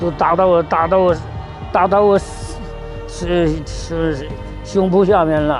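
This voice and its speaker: A man's high pitch in monotone, flat intonation, with music in the background. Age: 80s+; old. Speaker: war veteran. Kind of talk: interview answer.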